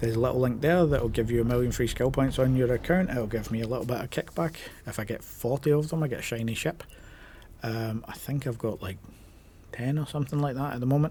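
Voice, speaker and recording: This man's voice is medium in pitch, somewhat breathy and dark and mellow in tone, moving at a very fast pace with ordinary pitch variation. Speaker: gaming YouTuber. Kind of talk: casual vlog talk to camera. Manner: casual, with many filler ums.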